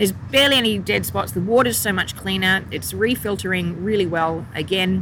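This woman talks at a fairly quick pace with hardly any pauses, her intonation lively and her pitch medium. She has an Australian accent, and there is noticeable background noise. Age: 40s. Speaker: fishmonger and business owner. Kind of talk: casual chat. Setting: outdoors.

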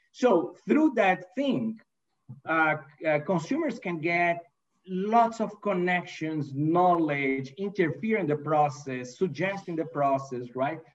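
A man's high voice with a Brazilian accent, lively intonation and a very slow pace. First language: Portuguese. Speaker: manufacturing executive. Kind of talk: interview. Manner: hesitant, many fillers.

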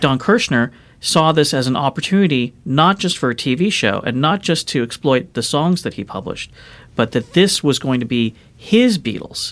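A man with a Californian accent, fairly high pitch, lively intonation and a moderate pace. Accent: Californian American. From Los Angeles. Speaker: record producer and music historian. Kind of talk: interview.

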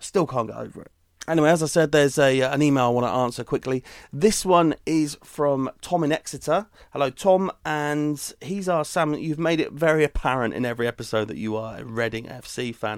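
A man speaks in an ordinary speaking voice with ordinary pitch variation. His loudness swings a lot. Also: fairly high pitch for a man, fairly quick pace. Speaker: podcast host. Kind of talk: casual chat. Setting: video call.

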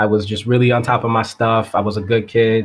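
Against a quiet background, a man speaks at a medium pitch in a normal speaking voice. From Massachusetts (Springfield). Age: 30s. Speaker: physics teacher. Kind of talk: casual chat. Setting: call.

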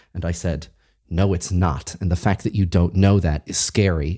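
Speaking at a fairly quick pace with an American accent, a man with a very deep, low pitch and a dark, mellow, somewhat breathy tone uses ordinary pitch variation on a very clean recording with a silent background. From Massachusetts. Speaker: podcast host. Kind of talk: interview.

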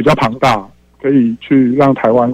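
A man's medium-pitched voice at a moderate pace, dry and close with no echo. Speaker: radio call-in listener. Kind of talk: call-in opinion.

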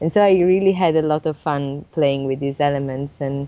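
This woman's pitch is very deep and low, and her intonation stays fairly even. She speaks at a moderate pace. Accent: Italian. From Italy, Sardinia. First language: Italian. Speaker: illustrator and picture book author. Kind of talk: interview.

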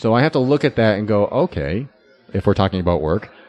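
Fairly low in pitch, a man talks at a very fast pace with lively intonation. Music plays in the background. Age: 40s. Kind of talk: casual chat. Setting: coffee shop.

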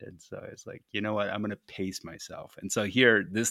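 Captured in a very clean recording with a silent background and a dry, close sound with no echo, a plain, everyday voice speaks with ordinary pitch variation. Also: man. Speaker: podcaster and climber. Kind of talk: casual interview. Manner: casual, expressive, profane.

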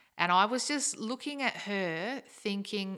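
A woman speaks with ordinary pitch variation on a very clean recording against a silent background. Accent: Australian. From South Australia, Naracoorte. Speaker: secondary school teacher. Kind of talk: casual chat.

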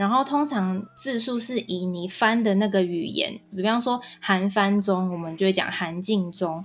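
A woman at a medium pitch and a fairly slow pace, with ordinary pitch variation, hardly any pauses and music playing in the background. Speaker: Korean-Chinese translator. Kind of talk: interview. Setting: online recording.

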